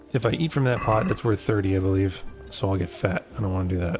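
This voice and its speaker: With music playing in the background, a man speaks fairly quickly in a fairly low voice. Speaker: gaming streamer. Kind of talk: casual livestream talk to camera. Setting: living room livestream. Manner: soft-spoken, dry humor.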